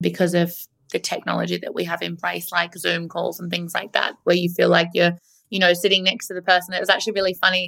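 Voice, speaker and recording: A woman with an Australian accent, fairly low-pitched, in a monotone, flat intonation. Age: 30s. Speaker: marketing agency founder. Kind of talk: interview. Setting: remote recording from Melbourne.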